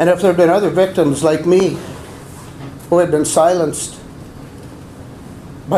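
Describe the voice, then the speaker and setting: Noticeable background noise and audible room echo surround a man's high-pitched voice. He speaks at a moderate pace with fairly even intonation. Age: 60s. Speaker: abuse survivor and deacon candidate. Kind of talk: testimony. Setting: press conference.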